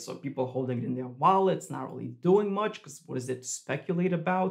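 A man talks at a moderate pace, fairly high in pitch, with lively intonation. The background is quiet. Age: 30s. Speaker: crypto YouTuber. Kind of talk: video commentary. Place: home room.

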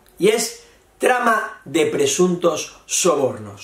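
Noticeable background noise sits under a man speaking at a very slow pace. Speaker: Spanish teacher. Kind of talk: lesson. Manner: slow, repetitive explanation.

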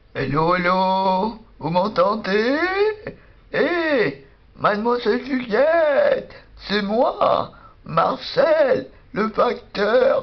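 This cartoonish character voice moves at a very slow pace with very wide pitch swings and long, frequent pauses. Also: woman, fairly high pitch for a woman. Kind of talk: improvised comic sketch. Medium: puppet. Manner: jovial, laughing a lot.

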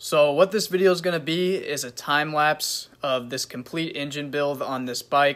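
A man's bright, sharp tone moves along at a moderate pace. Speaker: motorbike build channel host. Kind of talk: casual vlog intro. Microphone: phone near.

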